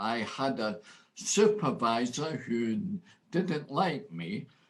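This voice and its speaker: A man with a Scottish accent speaks at a very slow pace and medium pitch. His voice moves through very wide pitch swings. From Scotland. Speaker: motivational speaker. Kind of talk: interview answer.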